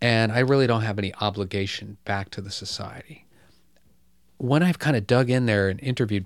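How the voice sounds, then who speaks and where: With an American accent and a normal speaking voice, the speaker moves at a fairly quick pace with ordinary pitch variation over a very clean, silent background. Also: man. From US Midwest, Michigan (Detroit suburbs). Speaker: economic justice activist and author. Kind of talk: interview. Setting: office.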